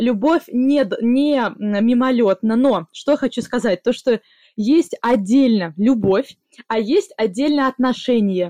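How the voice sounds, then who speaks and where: A woman's high-pitched voice with a dark, mellow tone, lively intonation and very even loudness, at a very slow pace, in a dry, close sound with no echo. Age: 20s. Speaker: podcast host. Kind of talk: casual chat, interview with grandmother.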